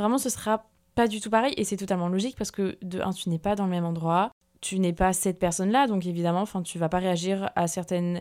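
On a very clean recording with a silent background, a woman talks at a very fast pace with a medium pitch and fairly even intonation. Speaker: podcast host. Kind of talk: casual monologue. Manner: hesitant, many fillers.

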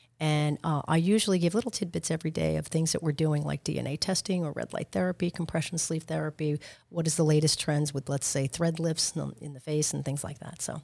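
A woman with a New York accent speaks at a very fast pace, hardly pausing at all. Her very deep, low voice has a dark, mellow tone and fairly even intonation. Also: very clean recording, silent background. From Long Island, New York. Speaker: med spa owner. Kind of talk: interview.

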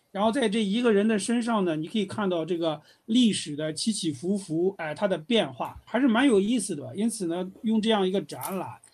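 Against a quiet background, a man with a high pitch speaks at a fairly quick pace with ordinary pitch variation. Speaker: art and design history professor. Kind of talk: interview.

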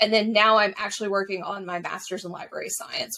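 Talking at a very fast pace in an American accent, a woman with a medium pitch uses lively intonation. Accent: mild Southern, watered down. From US South, Mississippi Gulf Coast. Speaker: history blogger and podcaster. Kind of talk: casual interview.

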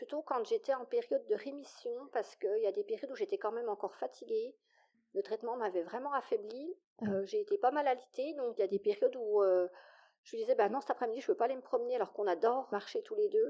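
A woman's high voice at a very fast pace, with very wide pitch swings and big swings in loudness. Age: 40s. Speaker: mother sharing infertility story. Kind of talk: testimony.

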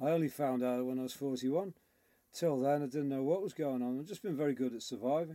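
A man with a Liverpool accent speaks at a very fast pace in a fairly high pitch with a dark, mellow tone and ordinary pitch variation. The recording is very clean, with a silent background. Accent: Scouse. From Liverpool, England. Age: 50s. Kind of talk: interview.

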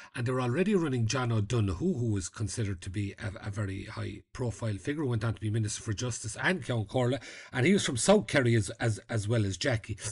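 A man with an Irish accent speaks at a very fast pace with hardly any pauses, his medium-pitched voice somewhat breathy. His pitch varies in an ordinary way over a quiet background. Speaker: journalist and podcast host. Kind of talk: casual interview.

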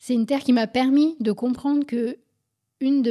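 A woman speaks at a fairly slow pace in a dark, mellow, somewhat breathy tone with ordinary pitch variation. The sound is dry and close with no echo, on a very clean recording with a silent background. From France, Paris suburbs. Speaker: physician and author. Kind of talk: interview.

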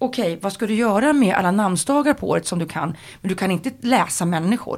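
A woman with an ordinary speaking voice talks at a fairly quick pace, using a medium pitch and ordinary pitch variation. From Sweden, Sundsvall (Medelpad). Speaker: TV presenter and moderator. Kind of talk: casual interview.

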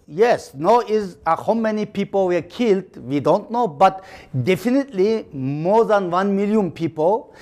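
A man talks at a moderate pace with a Xinjiang accent. His pitch is high, with ordinary variation. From East Turkestan (Xinjiang, China). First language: Uyghur. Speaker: activist and author. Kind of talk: interview. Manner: halting.

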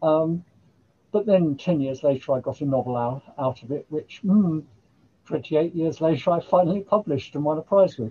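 In an English accent, a woman talks at a moderate pace. Her pitch is very deep and low. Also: ordinary pitch variation. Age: 70s. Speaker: writer and poet. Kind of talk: casual chat.

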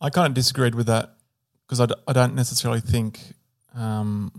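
In a plain, everyday voice, a man talks at a moderate pace with medium pitch and fairly even intonation on a very clean recording with a silent background. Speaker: medical professor and co-host. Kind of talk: casual chat.

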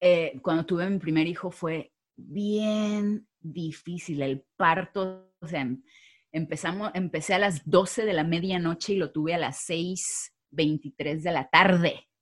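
Recorded very cleanly against a silent background, a woman speaks very slowly in a fairly low pitch with fairly even intonation. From Mexico. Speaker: social media creator. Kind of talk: interview.

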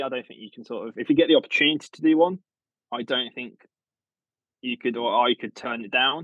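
A man talks at a very fast pace with a British accent, his loudness swinging widely. His pitch variation is ordinary, and he takes long, frequent pauses. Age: 20s. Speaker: garden designer. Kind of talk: casual chat.

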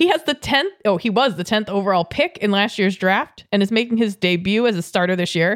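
With an unremarkable speaking voice, a woman at medium pitch talks at a fairly quick pace with hardly any pauses, lively intonation and very even loudness. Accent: American. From New England, Boston area. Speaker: sports podcast co-host. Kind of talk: casual chat.

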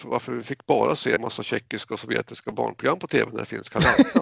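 Here a man speaks at a very fast pace. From Sweden, Jämtland. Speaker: IT database worker, media critic group member. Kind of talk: casual interview chat. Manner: halting, repetitive.

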